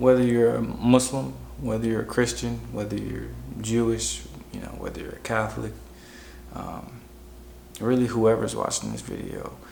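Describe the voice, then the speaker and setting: The speech is quiet, with an American accent and a moderate pace broken by long, frequent pauses. Room echo is audible. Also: man. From Chicago, US. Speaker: vlogger sharing personal story. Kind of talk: personal testimony monologue. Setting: at home, wife asleep nearby. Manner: quiet, talking low; casual with many fillers.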